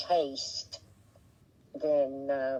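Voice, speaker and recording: A woman with an Appalachian accent. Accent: Appalachian southern drawl. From West Virginia, Appalachia. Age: 80s+. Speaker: interviewee, retired mother. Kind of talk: oral history interview. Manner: halting.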